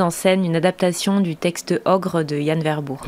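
This is a normal speaking voice from a woman with a fairly low pitch. She goes at a fairly slow pace with ordinary pitch variation. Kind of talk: interview answer. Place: studio. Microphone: studio mic.

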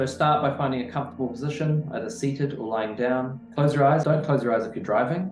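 Clear music plays in the background as a man talks at a medium pitch with ordinary pitch variation. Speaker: men's mindset and growth coach. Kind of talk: guided meditation. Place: home room.

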